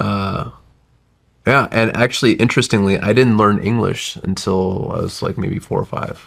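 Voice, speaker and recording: An ordinary speaking voice from a man with an American accent, fairly low pitch, fairly even intonation and a moderate pace. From US South (Alabama, then southern Virginia). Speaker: tech entrepreneur. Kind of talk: podcast interview.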